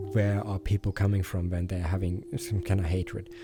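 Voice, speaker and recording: A man's very deep, low voice with a non-native accent, music playing behind him. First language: not English. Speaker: meditation group leader. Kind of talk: casual discussion. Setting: VRChat voice chat. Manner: hesitant, many fillers.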